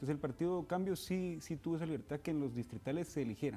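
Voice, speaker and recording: A man with a dark, mellow tone at a very fast pace. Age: 20s. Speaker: political party secretary general. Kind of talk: TV political interview.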